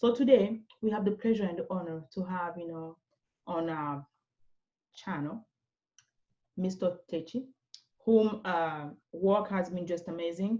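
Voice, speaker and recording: A woman's medium-pitched voice with a non-native accent, ordinary pitch variation, big swings in loudness and long, frequent pauses. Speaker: interview show host. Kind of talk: interview. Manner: animated.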